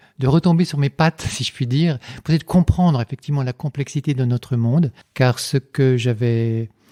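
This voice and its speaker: Recorded very cleanly against a silent background, with a dry, close sound and no echo, a man speaks in a dark, mellow tone at medium pitch with fairly even intonation. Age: 60s. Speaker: engineer and philosopher, lecturer. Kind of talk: podcast interview. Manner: hesitant, many fillers and repetitions.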